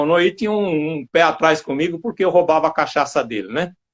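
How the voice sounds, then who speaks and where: Lively intonation marks this high-pitched man, who speaks at a fairly quick pace. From Brazil, São Paulo state (Santo André). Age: 70s. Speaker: retired military police firefighter. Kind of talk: interview, personal reminiscences. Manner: hesitant, with repeated words.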